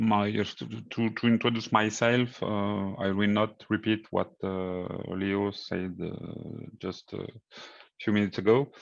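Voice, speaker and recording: Against a quiet background, a man with a French accent speaks very slowly in a fairly low, monotone, flat voice. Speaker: engineering consultant. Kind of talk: conference presentation. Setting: virtual conference. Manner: hesitant.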